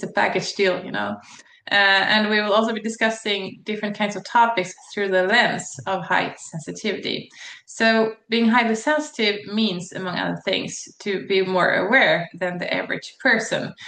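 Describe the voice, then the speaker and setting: With a Swedish accent, a woman speaks in a bright, sharp tone. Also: medium pitch for a woman, fairly even intonation, moderate pace. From Sweden. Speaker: psychologist and channel host. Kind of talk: channel introduction monologue. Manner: hesitant, many fillers.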